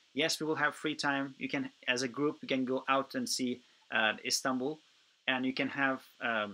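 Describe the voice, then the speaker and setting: A man with a Turkish accent speaks at a moderate pace, his fairly high pitch carrying a bright, sharp tone. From Turkey. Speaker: youth program organizer. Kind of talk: webinar Q&A. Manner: halting, many fillers.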